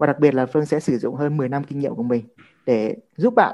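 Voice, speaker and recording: Very fast and fairly high-pitched, a man speaks in a dark, mellow tone with ordinary pitch variation. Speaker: author and trainer. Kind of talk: live Q&A session answering audience questions. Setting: online live stream with audience on mic.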